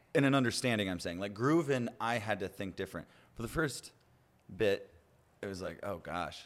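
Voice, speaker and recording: Over a silent background in a very clean recording, a man with a medium pitch uses lively intonation at a moderate pace. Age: 20s. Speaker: podcast host. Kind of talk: casual chat. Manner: animated.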